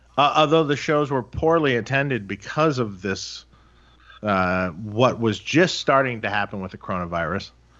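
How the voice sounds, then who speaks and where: Against a quiet background, a man with an American accent uses an ordinary speaking voice and lively intonation. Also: medium pitch for a man, moderate pace. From Detroit, US Midwest. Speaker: amp builder and podcast co-host. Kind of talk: casual chat. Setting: video call.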